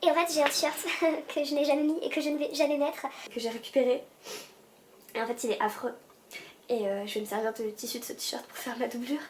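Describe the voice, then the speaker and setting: Against noticeable background noise, a woman with a high pitch talks at a fairly quick pace, with long, frequent pauses. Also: ordinary pitch variation. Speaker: sewing vlogger. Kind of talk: tutorial vlog narration.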